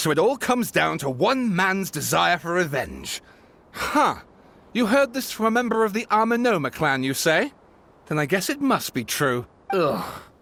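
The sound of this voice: A man's put-on character voice, high-pitched with vocal fry, a fairly bright tone, big pitch swings and a moderate pace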